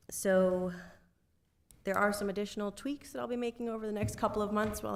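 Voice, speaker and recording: There is audible room echo as a woman talks fairly quickly with ordinary pitch variation. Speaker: city finance director. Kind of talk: financial report at council meeting.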